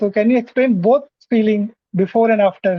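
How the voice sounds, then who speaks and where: A speaker with an Indian accent talks at a moderate pace. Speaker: English learner, interviewer guest. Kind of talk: casual interview chat. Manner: halting, many fillers.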